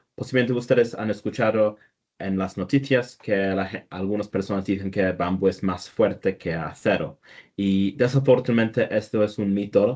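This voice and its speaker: Against a quiet background, a man with a non-native accent speaks at a moderate pace, his fairly low voice keeping fairly even intonation. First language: not Spanish (speaking Spanish). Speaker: structural engineer. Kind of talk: technical presentation. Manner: halting with false starts.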